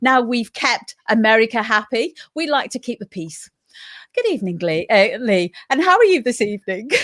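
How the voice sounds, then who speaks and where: A woman's fairly high voice with very wide pitch swings, at a moderate pace, in a dry, close sound with no echo. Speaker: community radio host. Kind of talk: live radio chat. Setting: radio show from home.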